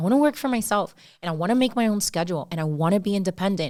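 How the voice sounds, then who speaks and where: A woman with a Miami accent, very fast and lively in intonation, in a very clean recording with a silent background. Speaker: podcast co-host. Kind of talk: casual chat. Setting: podcast recording, Miami.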